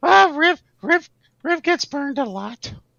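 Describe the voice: Slowly, in a put-on character voice with vocal fry, a bright, sharp tone and lively intonation, the speaker comes through with a dry, close sound with no echo.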